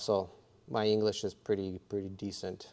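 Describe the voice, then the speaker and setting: Over a silent background, this very clean recording captures a man's voice. His pitch is fairly low and his tone dark and mellow. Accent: slight Russian. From US (came from Russia at six). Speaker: bitcoin mining farm operator. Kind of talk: live stream Q&A tutorial. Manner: casual, with many fillers.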